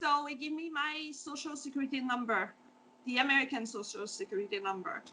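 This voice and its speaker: Her voice is high-pitched, bright and sharp, raised and projected. The woman speaks at a fairly quick pace with lively intonation. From Quebec, Beauce region. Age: 40s. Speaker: food truck owner. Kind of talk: interview. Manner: hesitant, many fillers.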